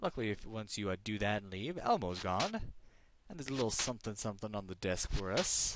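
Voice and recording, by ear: Someone is reading aloud in a natural voice. The delivery stays as written.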